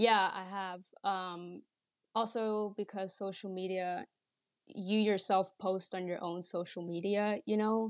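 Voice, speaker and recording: The recording is very clean and the background silent. A woman talks very slowly, her intonation fairly even. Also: medium pitch for a woman. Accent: Dutch. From Netherlands, Rotterdam. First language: Dutch. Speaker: podcast guest, Dutch immigrant in the US. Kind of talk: casual interview chat.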